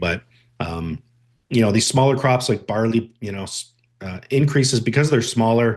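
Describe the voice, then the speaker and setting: The voice shows ordinary pitch variation. The background is quiet. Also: man. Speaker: grain market analyst. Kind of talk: webinar presentation. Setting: online webinar. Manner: fast; many filler words.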